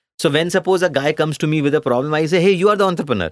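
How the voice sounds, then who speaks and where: A man speaks with an Indian accent at a fairly high pitch. His pace is very fast. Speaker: company co-founder and CEO. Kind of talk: interview.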